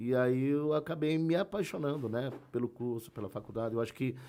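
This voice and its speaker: A man's fairly quick delivery at a medium pitch, with a dark, mellow tone. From Brazil, Sorocaba (São Paulo state). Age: 50s. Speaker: history teacher. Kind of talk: interview conversation. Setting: live-streamed podcast with chat. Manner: hesitant, many fillers.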